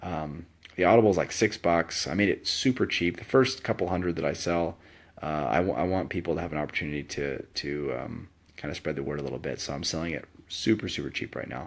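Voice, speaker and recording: Over a quiet background, a man with a very deep, low voice and vocal fry talks very fast with ordinary pitch variation. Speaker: author with ADHD, medical school graduate. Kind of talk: casual talk to camera. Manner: halting, many fillers.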